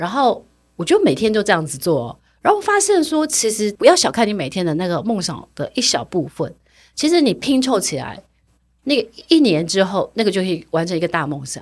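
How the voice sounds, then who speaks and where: Her medium-pitched voice swings very widely in pitch at a fairly quick pace. The woman is recorded very cleanly, the background silent. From Taiwan (Jiufen, New Taipei). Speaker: personal finance author. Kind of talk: interview.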